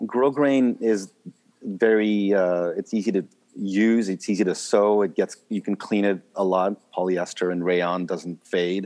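This man has an ordinary speaking voice, pitched fairly low. He talks at a fairly slow pace with fairly even intonation. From Switzerland and Canada. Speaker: drapery maker. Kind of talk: interview.

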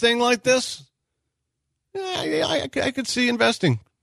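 In a dry, close sound with no echo, a man projects a raised, bright, sharp voice at an extremely high pitch, with very wide pitch swings and a moderate pace. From Texas. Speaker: sports radio host. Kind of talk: casual chat.

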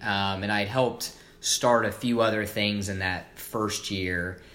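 Audible room echo surrounds a man with an American accent and a bright, sharp tone. He keeps a moderate pace at a fairly low pitch with ordinary pitch variation. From US Midwest, Evansville, Indiana. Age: 20s. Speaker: video production entrepreneur. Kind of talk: interview. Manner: hesitant, many fillers.

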